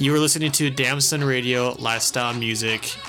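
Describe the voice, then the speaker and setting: This man has a plain, everyday voice, pitched fairly high, with fairly even intonation. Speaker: radio DJ. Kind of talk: radio DJ patter, quick track intros and outros between songs in a mix show. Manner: clear, steady, promotional sign-offs with repeated show tagline.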